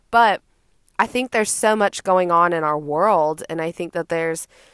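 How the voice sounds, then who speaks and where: A woman with an American accent, fairly low-pitched and animated, at a moderate pace, on a very clean recording with a silent background and a dry, close sound with no echo. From Austin, Texas. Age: 20s. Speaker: podcast host. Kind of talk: casual monologue.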